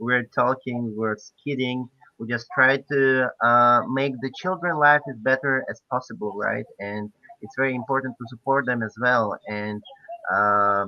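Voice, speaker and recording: With a Polish accent, a man of medium pitch speaks at a fairly slow pace with ordinary pitch variation. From Poland. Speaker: PhD student volunteer. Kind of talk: online presentation. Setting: online event. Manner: halting, many fillers.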